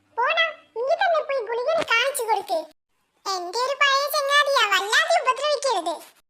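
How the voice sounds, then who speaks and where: Squeaky and extremely high, a cartoonish character voice talks at a moderate pace. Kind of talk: comic cartoon voice acting. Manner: aggrieved, indignant.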